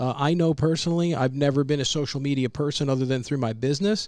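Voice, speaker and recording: A man talks fairly quickly in an unremarkable speaking voice, fairly high in pitch with ordinary variation. The recording is very clean, with a silent background. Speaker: podcast host. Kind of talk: podcast conversation.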